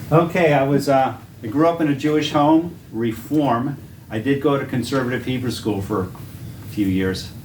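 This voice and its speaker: A man with a Boston accent at medium pitch and moderate pace, ordinary pitch variation, audible room echo and noticeable background noise. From Massachusetts, Boston area. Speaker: Bible teacher. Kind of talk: testimony.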